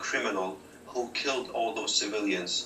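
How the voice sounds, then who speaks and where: A medium-pitched man's voice at a moderate pace, with audible room echo and noticeable background noise. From Syria. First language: Arabic. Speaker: activist, former rebel, refugee. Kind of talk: TV news interview.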